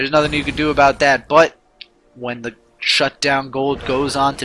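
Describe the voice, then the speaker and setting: A man speaks in a normal speaking voice at a fairly high pitch. His pace is moderate. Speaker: amateur esports caster. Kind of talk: live commentary.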